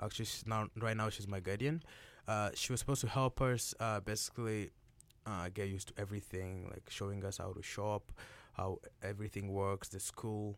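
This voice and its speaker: A man with a plain, everyday voice, fairly low in pitch and fairly quick in pace, on a very clean recording with a silent background. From DR Congo and Uganda, then Chilliwack, Canada from about 14. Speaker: university soccer player. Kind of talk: interview. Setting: radio studio.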